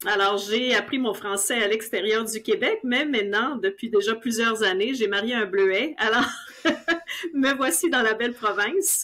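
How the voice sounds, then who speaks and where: A woman, fairly high in pitch with ordinary variation, at a fairly slow pace amid noticeable background noise. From Ontario, Canada (Franco-Ontarian, Outaouais area). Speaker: sales director. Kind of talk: interview.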